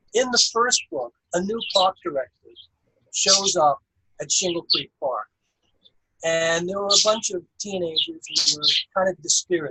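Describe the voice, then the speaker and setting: A man with a high pitch and bright, sharp tone speaks in a raised, projected voice at a moderate pace with lively intonation. He leaves long, frequent pauses, and the sound is dry and close with no echo. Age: 70s. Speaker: novelist. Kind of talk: casual discussion.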